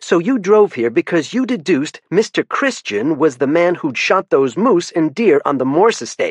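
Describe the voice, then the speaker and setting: Using a gruff put-on character voice, a man speaks at a high pitch and a moderate pace with very wide pitch swings, in a dry, close sound with no echo. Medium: read story. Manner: dry, no-nonsense.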